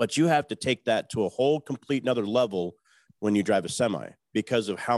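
A normal speaking voice moves at a fairly quick pace with ordinary pitch variation, recorded very cleanly against a silent background with a dry, close sound and no echo. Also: man. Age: 40s. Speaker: truck driver. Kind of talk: casual interview.

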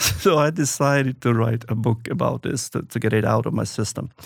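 Over a silent background in a very clean recording, a man with a Swedish accent speaks at a moderate pace, his medium pitch varying in an ordinary way. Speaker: author and entrepreneur. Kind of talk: interview conversation. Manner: halting.

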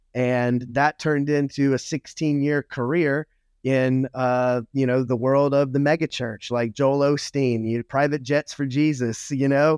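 A man with an American accent uses a normal speaking voice, fairly high in pitch with fairly even intonation at a moderate pace. The recording is very clean with a silent background, dry and close with no echo. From Louisiana, US South. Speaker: motivational speaker and former pastor. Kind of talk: casual interview chat.

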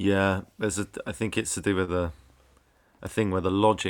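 In a British accent, a man with a very deep, low pitch speaks at a moderate pace and fairly even intonation, recorded very cleanly against a silent background. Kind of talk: casual chat.

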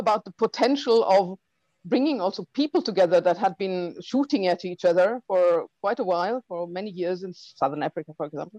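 A woman with a German accent speaks in a dark, mellow tone with ordinary pitch variation, the sound dry and close with no echo over a quiet background. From Germany (Heilbronn, Baden-Württemberg). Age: 50s. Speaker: documentary filmmaker. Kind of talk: interview. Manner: halting, with many fillers.

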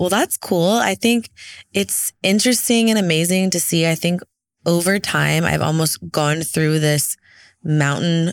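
A woman speaks at a moderate pace, her pitch fairly low. The recording is very clean and dry, close with no echo and a silent background. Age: 30s. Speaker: podcast host and social media influencer. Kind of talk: casual solo chat reacting to audience questions. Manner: animated.

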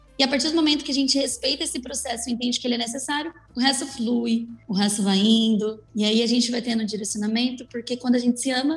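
Over noticeable background noise, a woman speaks very fast with hardly any pauses, a high pitch, and fairly even intonation. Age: 20s. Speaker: makeup artist. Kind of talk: casual chat.

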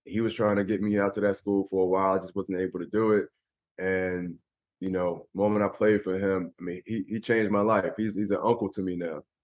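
A man with an American accent at a fairly low pitch and fairly quick pace, monotone and flat, against a quiet background. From Philadelphia, US. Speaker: former pro basketball player and motivational speaker. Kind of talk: interview.

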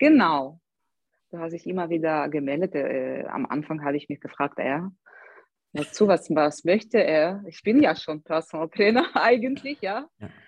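This woman's voice sits fairly low and moves at a moderate pace. Her intonation is lively, with big swings in loudness. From Ukraine, Odessa. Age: 30s. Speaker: personal trainer. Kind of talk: interview. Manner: halting, many fillers.

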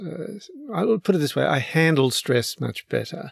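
An Australian accent comes through. The speech moves at a moderate pace. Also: man. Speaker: retired lawyer and long-distance sailor. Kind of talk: interview. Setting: on his boat. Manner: hesitant, many fillers.

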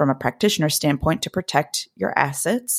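Recorded very cleanly against a silent background, a woman with an American accent speaks in a normal speaking voice at a moderate pace, with ordinary pitch variation and a dry, close sound free of echo. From Blue Ridge Mountains, Virginia/West Virginia border. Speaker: podcast host, practicing witch. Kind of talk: casual chat.

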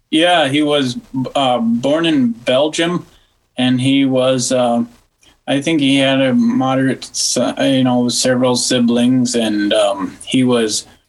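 At a very slow pace, a man speaks with fairly even intonation and very even loudness. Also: medium pitch for a man. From Western South Dakota, near Wall. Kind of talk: interview on church history.

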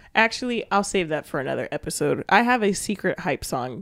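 A woman speaks with vocal fry and very wide pitch swings. The recording is very clean and silent behind her, with a dry, close sound and no echo. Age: 20s. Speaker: podcast co-host. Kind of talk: casual chat.

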